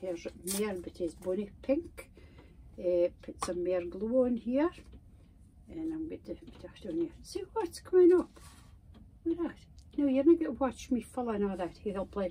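A woman speaks at a medium pitch with a dark, mellow tone. Her intonation is lively and her pace moderate.

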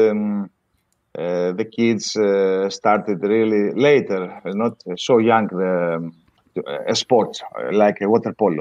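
A man with a Greek accent speaks at a very slow pace. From Greece, Volos. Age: 50s. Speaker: water polo coach. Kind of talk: interview.

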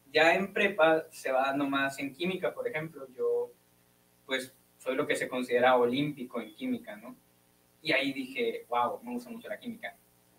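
With light background noise, a man speaks at a moderate pace in a fairly high pitch, his intonation lively and his loudness swinging a lot. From Hermosillo, Sonora, Mexico; Sonora, Mexico. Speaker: physics student; guest. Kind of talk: casual interview. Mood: relaxed, friendly. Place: studio. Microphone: studio mic.

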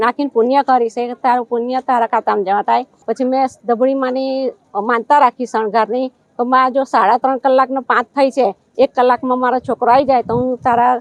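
Her voice sits high for a woman, delivered in a monotone, flat intonation. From Gujarat, Vadodara. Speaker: devotee. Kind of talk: testimony.

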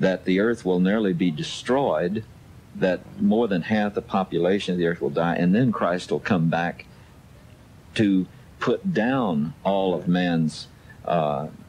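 A man's very deep, low voice with ordinary pitch variation, music in the background. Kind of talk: radio talk show discussion. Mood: earnest, explanatory. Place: studio.

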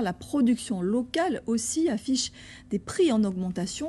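A woman speaks at a fairly slow pace in a fairly high pitch, her tone dark and mellow and somewhat breathy. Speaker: news anchor. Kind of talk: news reading. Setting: studio. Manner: formal. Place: studio. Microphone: lapel.

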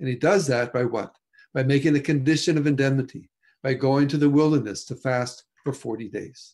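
A man's fairly even intonation at a moderate pace against a quiet background. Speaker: presenter. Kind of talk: lecture. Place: home room. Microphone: video call.

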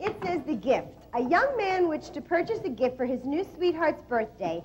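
Faint music plays in the background as a woman speaks with very wide pitch swings. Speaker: comedy cooking show co-host. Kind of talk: comedy cooking show. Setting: studio with audience. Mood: playful, building to punchline. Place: studio.

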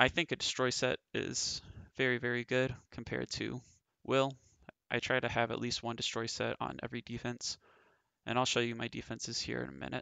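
A man talks at a fairly quick pace. The sound is dry with no echo, and the background is quiet. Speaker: mobile game player. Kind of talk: game strategy guide narration. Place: home room. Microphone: headset.

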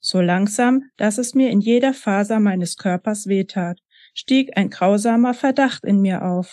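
Reading aloud in a natural voice, with ordinary pitch variation, over a quiet background

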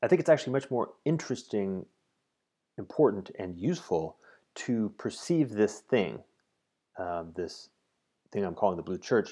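In a dark, mellow tone, a man with a fairly low pitch and very wide pitch swings speaks at a moderate pace with long, frequent pauses. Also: quiet background. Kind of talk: explanatory monologue. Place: home room. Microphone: earbuds.

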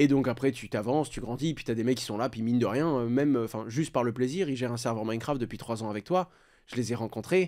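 Very fast and medium-pitched, a man talks with a dark, mellow tone. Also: ordinary pitch variation, very clean recording, silent background. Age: 20s. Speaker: crypto content creator and entrepreneur. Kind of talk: casual interview.

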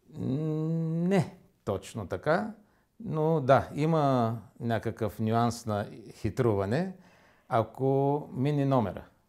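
Over a quiet background, a man talks at a very slow pace. His intonation is lively. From Bulgaria, Varna; Bulgaria. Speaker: interview guest. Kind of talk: studio interview. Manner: halting. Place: studio.

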